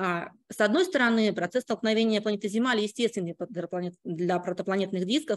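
Over a quiet background, a woman talks with fairly even intonation. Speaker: astrophysicist; conference presenter. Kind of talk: conference talk. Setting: stage with audience. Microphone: video call.

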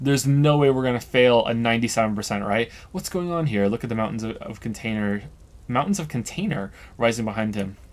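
A man at a moderate pace, medium in pitch, with ordinary pitch variation. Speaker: video game streamer. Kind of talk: reading game text aloud on a live stream. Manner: casual, plain narration without character voices. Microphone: studio mic.

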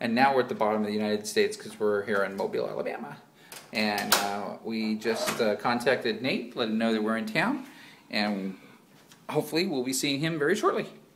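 Over noticeable background noise, a man talks at a fairly quick pace with lively intonation. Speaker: vlogger filming. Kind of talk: casual vlog chat. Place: home room. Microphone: phone near.

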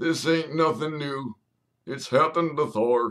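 Someone speaks at a moderate pace in a put-on character voice. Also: man, fairly high pitch for a man. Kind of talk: comedy ventriloquist routine. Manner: gruff, insulting.

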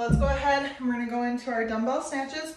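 The audible room echo surrounds a woman speaking at a moderate pace. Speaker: fitness instructor. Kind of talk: workout instruction and counting. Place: home room. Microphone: camera far.

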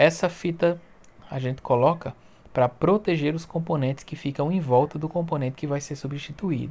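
With a somewhat breathy quality, this man's fairly high voice moves at a moderate pace. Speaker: phone repair youtuber. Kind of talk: tutorial. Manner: animated.

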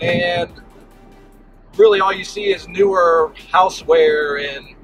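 The dry sound has no echo, with faint music in the background. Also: man. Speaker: yard sale reseller vlogger. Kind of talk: casual vlog chat. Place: car. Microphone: phone near.

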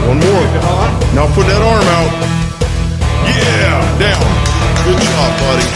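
Loud music plays in the background while a man talks at a fairly slow pace. He leaves long, frequent pauses. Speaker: strength coach. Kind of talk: coaching a client during a workout. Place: gym. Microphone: phone near.

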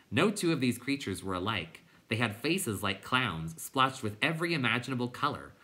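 An unforced reading voice, nothing more

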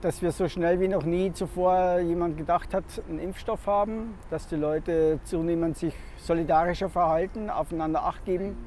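At a moderate pace, a man with a high voice talks in a fairly even tone over faint background music, the sound dry with no echo. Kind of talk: interview answer. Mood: hopeful, confident. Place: waterside.

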